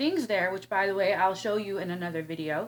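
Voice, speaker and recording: With an American accent, the woman speaks with ordinary pitch variation. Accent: northern US accent, turns southern when mad. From Illinois. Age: 30s. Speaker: vlogger. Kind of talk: casual vlog talk to camera. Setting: at home. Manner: animated.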